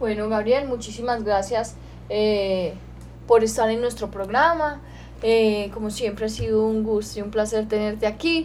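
With audible room echo, a woman speaks fairly slowly at a fairly high pitch, using ordinary pitch variation. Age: 20s. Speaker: radio host and animal welfare director. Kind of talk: radio talk show.

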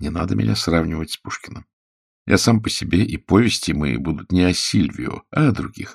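In a very clean recording with a silent background, a man does a put-on character voice at a low pitch with vocal fry, a slightly husky edge, lively intonation and a fairly quick pace.

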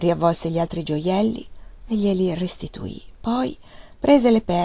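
An unforced reading voice moves with ordinary pitch variation.

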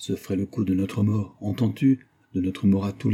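The text is given as plain reading aloud, with fairly even intonation.

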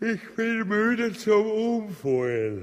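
A put-on character voice at a very slow pace, full of big pitch swings. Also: man, high pitch for a man.

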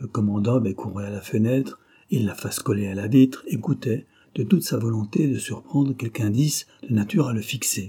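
The speaker is doing plain reading aloud. Pitch variation is ordinary.

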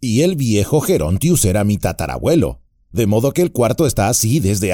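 Lively intonation in an unforced reading voice

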